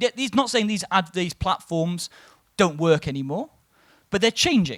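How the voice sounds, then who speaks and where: A man speaks in a high pitch with an English accent. His intonation is lively. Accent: sounds English rather than Welsh. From Wales. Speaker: marketing executive and conference speaker. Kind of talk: conference talk.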